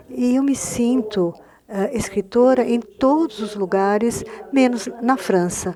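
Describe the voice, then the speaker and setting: Against noticeable background noise, a woman with a fairly high pitch speaks at a very slow pace with ordinary pitch variation. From Argentina. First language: Spanish (speaking Portuguese). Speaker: novelist. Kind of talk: panel discussion through an interpreter.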